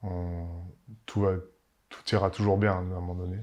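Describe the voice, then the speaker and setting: With a very deep, low pitch, a man speaks in a monotone, flat intonation. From Paris, France. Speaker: winemaker. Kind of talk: interview. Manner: halting, many fillers and repetitions.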